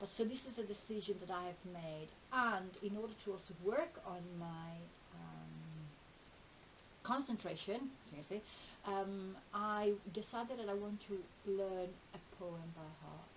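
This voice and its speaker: With audible room echo and noticeable background noise, a woman of medium pitch speaks at a fairly slow pace with ordinary pitch variation and long, frequent pauses. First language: Italian. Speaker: video blogger and therapist. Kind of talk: personal vlog. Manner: hesitant, many fillers.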